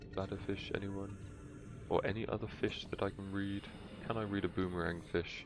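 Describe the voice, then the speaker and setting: A man with a British accent speaks at a moderate pace in a fairly low, monotone, flat voice. He leaves long, frequent pauses while music plays in the background. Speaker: gaming streamer. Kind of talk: live gameplay commentary. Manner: casual, hesitant.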